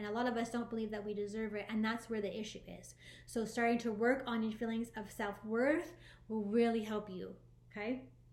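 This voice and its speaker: Audible room echo surrounds a woman's voice. She speaks at a fairly high pitch and a fairly quick pace. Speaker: spiritual life coach. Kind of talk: motivational talk to viewers. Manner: fast; animated.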